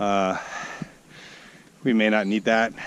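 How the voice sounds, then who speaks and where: A man speaks very slowly in a medium pitch. There is noticeable background noise. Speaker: hiking vlogger. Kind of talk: outdoor vlog narration. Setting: outdoors on a mountain trail.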